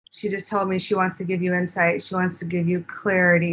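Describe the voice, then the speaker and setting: The woman's voice is somewhat breathy, and her intonation stays fairly even. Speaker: spiritual channeler and medium. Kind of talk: interview and spiritual teaching.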